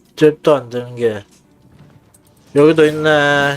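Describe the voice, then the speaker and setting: Over music in the background, a man with a fairly high pitch speaks at a very slow pace. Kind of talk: casual game livestream commentary.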